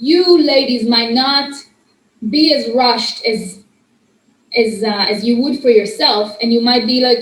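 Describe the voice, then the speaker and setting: In a room with audible echo, a woman speaks in a high voice with ordinary pitch variation. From Israel. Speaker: student workshop host. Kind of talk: workshop talk. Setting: audience present.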